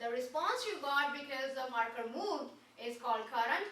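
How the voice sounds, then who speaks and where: Audible room echo surrounds a woman whose raised, projected voice sits at a high pitch. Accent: non-native. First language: not English. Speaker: trade school instructor. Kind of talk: classroom lecture. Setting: classroom. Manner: interactive, questioning.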